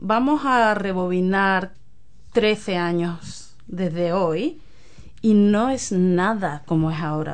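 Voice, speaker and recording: A woman speaks in an Andalusian accent. Her pitch is medium, with ordinary variation. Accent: Andalusian Spanish (Cádiz). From Spain, Cádiz (Andalusia). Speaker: community group chair, photographer. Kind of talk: radio interview.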